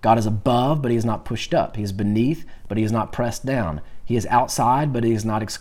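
A natural voice reading aloud, pitch shifting in an ordinary way

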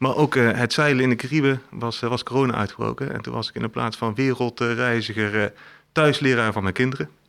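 A man talks at a fairly quick pace with medium pitch. His intonation stays fairly even. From Eindhoven, North Brabant, Netherlands. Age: 40s. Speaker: company CEO. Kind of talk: interview. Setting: office. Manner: hesitant, many fillers and repetitions.

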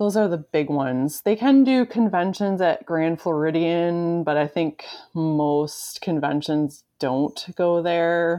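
Against a quiet background, a woman with an American accent talks at a very slow pace, her fairly low pitch and dark, mellow tone carrying ordinary pitch variation. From Michigan. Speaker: podcast host. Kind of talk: casual chat.

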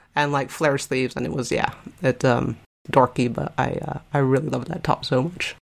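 Vocal fry in a woman's very deep, low voice, moderately paced, with ordinary pitch variation. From Spain. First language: Spanish. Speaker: science fiction fan. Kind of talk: casual chat. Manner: loud.

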